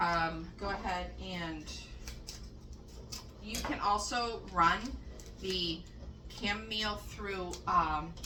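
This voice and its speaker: A woman's very slow speech with long, frequent pauses, noticeable background noise and audible room echo. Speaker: home cook making dog treats. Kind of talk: cooking tutorial. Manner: casual, chatty with fillers.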